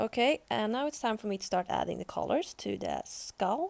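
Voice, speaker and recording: Recorded dry and close with no echo, a woman talks at a moderate pace in a Swedish accent. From Sweden. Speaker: art youtuber. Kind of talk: tutorial voice-over.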